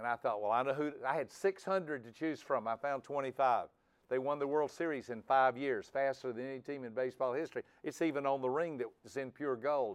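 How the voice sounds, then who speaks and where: With an ordinary speaking voice, a man talks at a fairly quick pace in a fairly high pitch, his intonation fairly even against a quiet background. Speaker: personality trainer. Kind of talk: seminar lecture.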